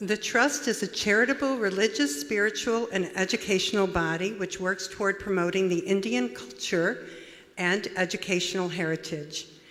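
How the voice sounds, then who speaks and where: Over noticeable background noise, a woman talks at a moderate pace. Her medium-pitched voice carries lively intonation. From USA. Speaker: conference host. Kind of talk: speaker introduction.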